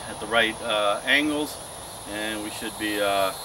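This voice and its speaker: A man speaks at a moderate pace with noticeable background noise behind him. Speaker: diy how-to host. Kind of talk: tutorial. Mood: relaxed, chuckling. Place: street.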